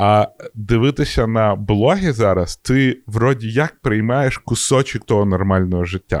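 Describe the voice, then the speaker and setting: On a very clean recording with a silent background, a man with an unremarkable speaking voice talks at a fairly slow pace in a medium pitch, with ordinary pitch variation, very even loudness and a dry, close sound with no echo. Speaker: podcast co-host. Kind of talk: casual chat.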